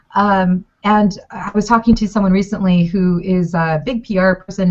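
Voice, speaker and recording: Somewhat breathy, a woman's voice comes through. It sits at a medium pitch. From Mexico. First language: Spanish. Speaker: food blogger. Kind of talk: consulting chat on video call. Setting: video call. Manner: animated.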